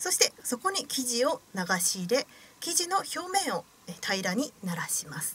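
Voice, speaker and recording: Light background noise sits behind a woman whose fairly high voice makes very wide pitch swings. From Osaka, Japan. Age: 20s. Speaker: radio host and young actress. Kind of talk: radio show narration. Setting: radio studio. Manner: formal, polite. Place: studio. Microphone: studio mic.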